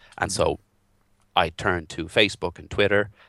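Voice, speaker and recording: A man speaks with an Irish accent. His tone is bright and sharp. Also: quiet background. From Ireland. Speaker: WordPress developer and social media marketer. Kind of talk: interview.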